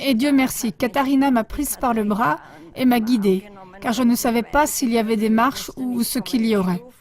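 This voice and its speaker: A woman speaks at a fairly high pitch with very even loudness. Noticeable background noise is present. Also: ordinary pitch variation, moderate pace. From Austria, Vienna. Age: 80s+. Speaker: event attendee sharing healing story. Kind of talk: interview testimony. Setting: studio.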